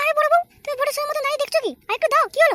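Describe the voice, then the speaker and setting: A woman's squeaky, cartoonish character voice, extremely high in pitch, at a very fast pace. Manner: sharp, demanding.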